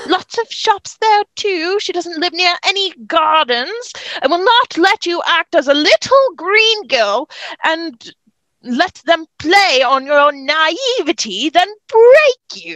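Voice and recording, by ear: In a put-on character voice, a woman talks slowly at an extremely high pitch with big pitch swings and a fairly bright tone, the sound dry and close with no echo.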